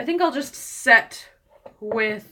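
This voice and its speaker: A woman speaks with lively intonation. Her tone is bright and sharp. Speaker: beauty vlogger. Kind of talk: live stream tutorial, casual chat. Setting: home, live stream. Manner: mumbling to herself.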